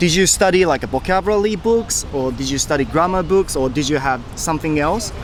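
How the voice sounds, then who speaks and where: A man's fairly high voice with a slight Japanese accent, fairly quick with hardly any pauses, ordinary pitch variation and noticeable background noise. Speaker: YouTuber interviewing people on the street. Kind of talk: street interview. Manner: casual, chatty.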